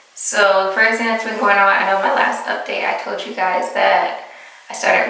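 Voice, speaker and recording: A woman speaks at a moderate pace with a medium pitch and fairly even intonation. Noticeable background noise and audible room echo come through. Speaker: vlogger. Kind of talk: casual chat.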